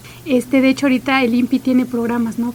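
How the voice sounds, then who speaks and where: A woman's fairly high voice with an Oaxacan accent, flat and monotone, over noticeable background noise. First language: Chinantec (speaking Spanish). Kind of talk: radio interview.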